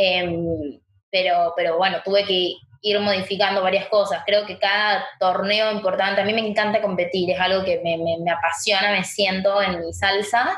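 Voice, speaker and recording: The woman's delivery moves at a moderate pace. Her intonation stays flat and monotone. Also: medium pitch for a woman. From Argentina, Chaco. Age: 20s. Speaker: paralympic swimmer. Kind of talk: interview.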